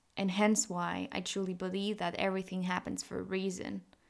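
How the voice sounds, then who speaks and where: Recorded very cleanly against a silent background, a woman talks at a moderate pace in a normal speaking voice of medium pitch. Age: 20s. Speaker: podcast host. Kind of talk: casual monologue.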